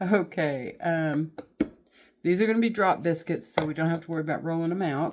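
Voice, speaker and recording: A woman's fairly low voice in a Southern US accent, with ordinary pitch variation, a fairly quick pace and a very clean recording over a silent background. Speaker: home cooking channel host. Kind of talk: cooking tutorial. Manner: casual, folksy.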